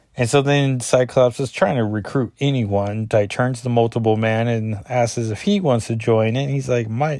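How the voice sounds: A reading voice, natural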